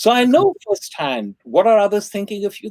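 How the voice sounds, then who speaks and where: The man's voice is high-pitched, with very wide pitch swings. The sound is dry and close, with no echo. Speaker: professor and author. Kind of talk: interview Q&A.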